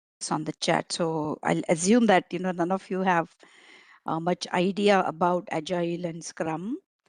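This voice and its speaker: A woman with a Marathi accent talks at a moderate pace and a fairly low pitch, with fairly even intonation, in a dry, close sound with no echo over a quiet background. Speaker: agile coach and trainer. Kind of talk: online training lecture. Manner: hesitant with frequent fillers.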